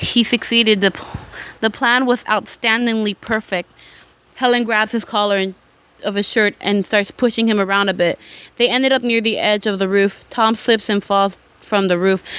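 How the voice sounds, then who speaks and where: A woman speaks at a moderate pace. Her fairly high pitch stays monotone and flat. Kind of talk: creepypasta story reading. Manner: hesitant, with pauses and stuttering.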